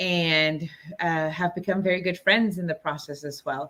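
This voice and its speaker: A woman with a Spanish accent, fairly low pitch, a bright, sharp tone and a moderate pace. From Los Angeles, US (born in Mexico, moved at seven). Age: 40s. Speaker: movement facilitator. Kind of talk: interview.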